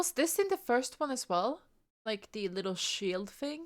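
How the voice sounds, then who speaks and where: A woman mumbles in a high voice at a moderate pace. Her pitch swings very widely. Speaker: vtuber reacting to game trailer. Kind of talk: casual reaction commentary. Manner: mumbling; halting, repeats words.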